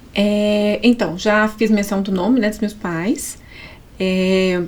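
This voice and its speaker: A woman with a Minas Gerais accent speaks at a very slow pace and a medium pitch. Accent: mineiro (Minas Gerais). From Brazil, Minas Gerais. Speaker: psychologist, pastor's wife. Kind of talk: podcast interview, personal testimony.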